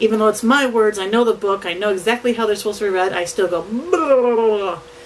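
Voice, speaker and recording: Against noticeable background noise, a woman talks at a fairly quick pace. Her fairly high voice shows ordinary pitch variation. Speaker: vlogger and aspiring novelist. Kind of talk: casual vlog update. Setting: home office, on camera.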